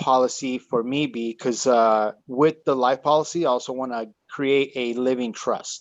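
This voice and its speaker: Here a man has an unremarkable speaking voice of medium pitch. He talks at a fairly slow pace with fairly even intonation. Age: 40s. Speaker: entrepreneur, audience member. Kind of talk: question in live Q&A. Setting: Zoom call.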